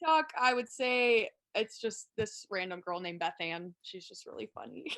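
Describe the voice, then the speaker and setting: A woman at a moderate pace with big swings in loudness, dry and close with no echo. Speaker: college basketball player. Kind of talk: casual interview.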